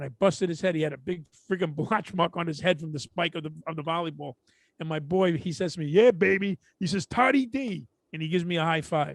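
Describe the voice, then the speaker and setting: A high-pitched man in a Brooklyn accent at a very fast pace, with ordinary pitch variation and a dry, close sound with no echo against a quiet background. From Brooklyn, New York. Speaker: podcast co-host, comedian. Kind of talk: casual chat. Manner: animated.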